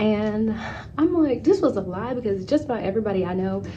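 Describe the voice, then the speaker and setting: At a fairly quick pace, an animated voice carries through audible room echo and noticeable background noise. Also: woman. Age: 20s. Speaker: travel vlogger. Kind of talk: casual chat. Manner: fast.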